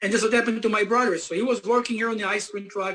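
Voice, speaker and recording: A man with a non-native accent speaks in a monotone, with flat intonation. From Israel. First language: Hebrew. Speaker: company founder and CEO. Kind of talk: motivational business presentation. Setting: conference call.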